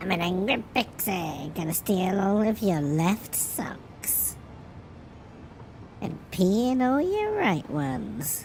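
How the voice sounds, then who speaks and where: In a put-on character voice that sounds female, the speaker holds a medium pitch for a woman at a very slow pace. Clear background noise is audible. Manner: angry.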